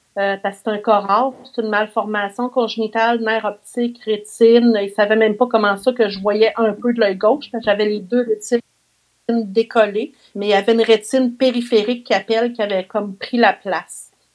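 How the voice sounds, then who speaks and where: The pace is moderate. A woman talks in a fairly high pitch. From Quebec, Mauricie region. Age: 50s. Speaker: visually impaired therapist. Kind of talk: interview, life story. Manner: animated.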